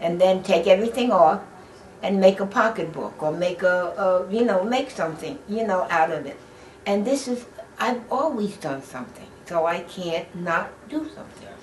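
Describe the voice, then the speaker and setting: A woman speaks at a moderate pace and medium pitch with lively intonation. Her loudness swings widely, and there is noticeable background noise. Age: 80s+. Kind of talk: oral history interview answer.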